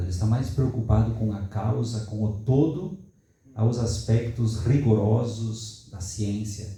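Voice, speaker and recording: With a southern Brazilian accent, a man speaks in a fairly low pitch with ordinary pitch variation, amid audible room echo and noticeable background noise. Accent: gaúcho (southern Brazilian). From southern Brazil, Rio Grande do Sul. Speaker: academic seminar participant. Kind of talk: discussion comment in academic Q&A. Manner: halting, with false starts.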